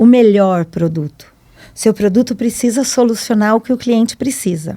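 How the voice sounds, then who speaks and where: At a moderate pace, the dark, mellow voice moves with ordinary pitch variation. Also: woman. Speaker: salesperson and entrepreneur. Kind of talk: podcast interview. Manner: animated.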